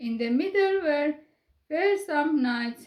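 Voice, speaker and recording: A high-pitched woman's voice with a non-native accent, very wide pitch swings and a very slow pace. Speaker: storyteller for children. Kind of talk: reading aloud. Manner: calm, soothing.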